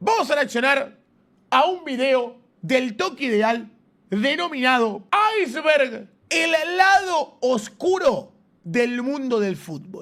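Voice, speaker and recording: Speaking very slowly with long, frequent pauses, a man uses an extremely high pitch and lively intonation. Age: 20s. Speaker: streamer reacting to videos. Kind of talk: casual reaction commentary.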